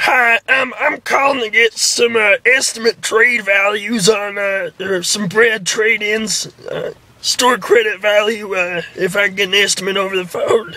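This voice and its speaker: A man puts on a character voice, pitched high. He speaks at a moderate pace with fairly even intonation. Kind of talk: prank call comedy. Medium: solo performance. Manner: halting, full of uhs and ums.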